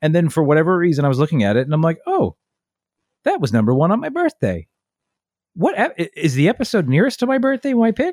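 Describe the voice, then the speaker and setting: Recorded dry and close with no echo, a man speaks very fast at a high pitch, his pitch swinging very widely while his loudness stays very even. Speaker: podcast co-host. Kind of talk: casual chat. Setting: home basement recording. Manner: casual, joking.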